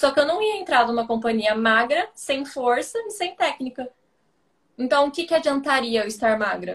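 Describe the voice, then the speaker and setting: Lively intonation and a high pitch from a woman speaking at a moderate pace. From Brazil, interior of São Paulo state (Ribeirão Preto). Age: 20s. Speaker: ballet dancer. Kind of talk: casual chat on a live stream.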